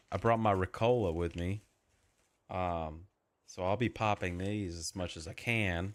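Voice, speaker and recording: The speaker has a tired tone, a fairly slow pace and fairly even intonation. The recording is very clean, with a silent background. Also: man, very deep, low pitch for a man. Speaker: gaming streamer. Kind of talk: live gameplay stream commentary. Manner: sounds tired.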